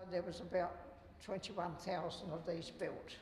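A man's high-pitched voice at a moderate pace, with light background noise and audible room echo. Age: 80s+. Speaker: war veteran, museum guide. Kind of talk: museum tour guide talk. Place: hall. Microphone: lapel.

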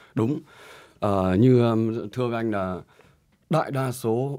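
A man's lively intonation comes through against a quiet background. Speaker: nail supply business director. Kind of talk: panel discussion. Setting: studio. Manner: halting. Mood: earnest, somewhat concerned. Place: studio. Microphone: studio mic.

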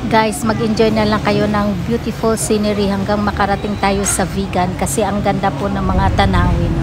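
Music plays behind a woman speaking. She goes at a fairly quick pace with hardly any pauses. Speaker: travel vlogger. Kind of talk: casual vlog chat. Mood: cheerful, excited.

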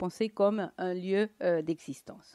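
Over a quiet background, a woman with a Latin American Spanish accent talks in a dark, mellow tone. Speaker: economist and lecturer; lecturer. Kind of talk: conference talk. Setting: conference with audience. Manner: halting, many hesitations. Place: hall. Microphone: podium.

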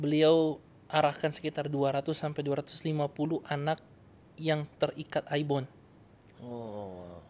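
Ordinary pitch variation in a fairly high male voice. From North Sulawesi, Indonesia; Indonesia. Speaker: evangelist. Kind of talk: interview testimony. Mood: warm, earnest. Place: studio. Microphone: studio mic.

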